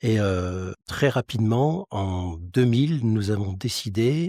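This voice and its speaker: On a very clean recording with a silent background and a dry, close sound with no echo, a man speaks at a medium pitch in a dark, mellow tone that is somewhat breathy. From France, Lorraine (Metz). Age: 60s. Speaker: mutual insurance president, former police officer. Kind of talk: interview. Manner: hesitant, frequent fillers.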